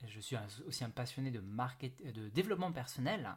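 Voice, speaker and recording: A man with a mid-range pitch talks at a fairly quick clip, his voice somewhat breathy and his intonation lively. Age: 30s. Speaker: podcast host, network marketing entrepreneur. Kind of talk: solo podcast monologue. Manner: hesitant, many fillers.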